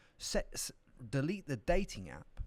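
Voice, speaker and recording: A man with a British accent speaks in an animated tone, his voice edged with vocal fry. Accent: British accent noted by himself. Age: 30s. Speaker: entrepreneur. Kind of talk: podcast interview. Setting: studio. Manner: animated, repetitive restarts.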